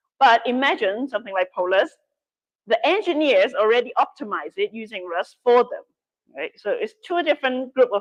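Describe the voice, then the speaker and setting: At a fairly quick pace, a woman with a Cantonese accent swings very widely around a high pitch, in a dry, close sound with no echo. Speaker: workshop instructor. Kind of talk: workshop Q&A.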